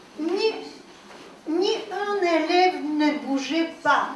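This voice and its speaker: A woman's pitch varies in an ordinary way, with audible room echo and noticeable background noise in the recording. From Poland, Warsaw. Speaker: war witness. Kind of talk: testimony. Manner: halting.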